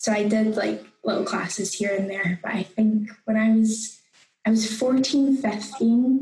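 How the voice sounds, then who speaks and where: With music in the background, the speech moves at a fairly slow pace and keeps a fairly even intonation. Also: woman, fairly high pitch for a woman. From Scotland, Houston near Glasgow. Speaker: actor. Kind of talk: casual chat.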